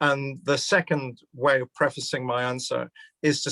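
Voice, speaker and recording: In a Glaswegian accent, a man speaks at a moderate pace with medium pitch and fairly even intonation, the sound dry and close with no echo. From Scotland, Glasgow. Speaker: criminology professor. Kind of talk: public conversation event.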